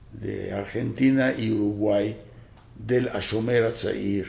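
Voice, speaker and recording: In a room with audible echo, a man talks at a very slow pace, his fairly low pitch held in a fairly even intonation. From Costa Rica. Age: 70s. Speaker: youth movement founder. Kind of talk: interview. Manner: halting, many filler sounds.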